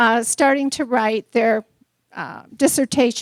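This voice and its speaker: Her raised, projected voice has a bright, sharp tone and lively intonation. The woman's sound is dry and close, with no echo. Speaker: professor. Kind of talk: lecture. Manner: short phrases paused for interpreter.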